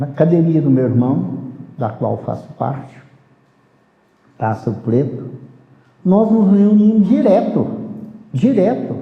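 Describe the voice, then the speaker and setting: Very slowly and with long, frequent pauses, a man speaks at a fairly high pitch with vocal fry and very wide pitch swings, in a room with audible echo. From rural Brazil. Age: 70s. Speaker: capoeira master. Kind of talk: life story interview.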